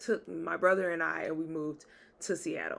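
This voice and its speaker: A woman speaks with a Southern accent at a moderate pace. Her pitch sits fairly low. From US South, Jackson, Mississippi. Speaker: podcaster and author. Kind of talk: casual storytelling. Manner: animated.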